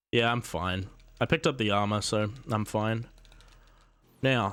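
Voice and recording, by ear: A man speaks at a fairly slow pace. His tone is fairly bright.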